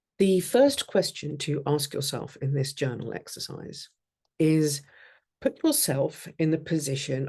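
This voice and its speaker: This woman's pitch is very deep and low, and her tone is dark and mellow and somewhat breathy. She talks at a fairly slow pace with fairly even intonation against a quiet background. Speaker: life coach. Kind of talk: workshop.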